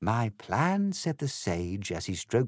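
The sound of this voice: The reading voice here is unforced. It stays that way from start to finish.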